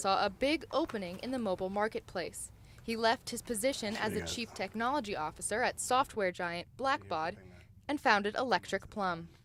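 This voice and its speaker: An unremarkable speaking voice with lively intonation. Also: woman, fairly high pitch for a woman, moderate pace, very clean recording, silent background. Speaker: TV news reporter. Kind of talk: TV news package narration.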